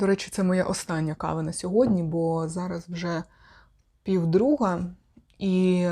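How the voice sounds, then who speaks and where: Her fairly low pitch for a woman carries a dark, mellow tone, and the intonation stays fairly even at a moderate pace. The recording is very clean, with a silent background. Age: 30s. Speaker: video blogger and sexology student. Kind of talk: vlog monologue.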